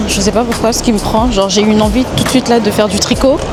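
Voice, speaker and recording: Music plays in the background, and audible room echo surrounds the voice. A woman speaks at a fairly high pitch with fairly even intonation. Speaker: lifestyle vlogger. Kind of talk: casual vlog talk. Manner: casual, hesitant with fillers.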